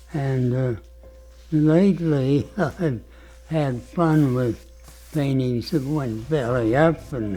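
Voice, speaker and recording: Music plays in the background as a man speaks at a very slow pace. His pitch varies in an ordinary way. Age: 80s+. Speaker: painter. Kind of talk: documentary talk.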